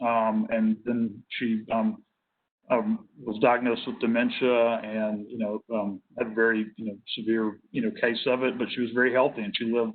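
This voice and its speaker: This man has a Tennessee accent, a medium pitch, a monotone, flat intonation and a moderate pace. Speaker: nursing home industry representative. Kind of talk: work group presentation. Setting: hybrid virtual meeting. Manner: halting, many fillers.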